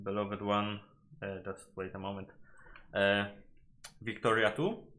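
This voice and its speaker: A man with a Polish accent speaks at a fairly low pitch. His tone is bright and sharp. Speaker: gaming YouTuber. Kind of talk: video game analysis commentary. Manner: halting, with frequent self-corrections.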